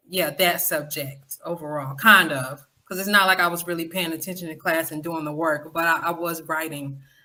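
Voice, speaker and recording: With hardly any pauses, the speech moves at a moderate pace with fairly even intonation and big swings in loudness. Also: woman, fairly low pitch for a woman. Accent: Southern US. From Florida, West Palm Beach. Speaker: podcaster. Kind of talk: interview.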